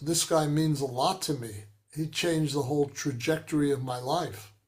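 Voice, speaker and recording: Somewhat breathy, a man speaks with a fairly high pitch. His pace is fairly slow and his pitch variation ordinary. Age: 80s+. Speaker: rock pianist. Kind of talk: interview.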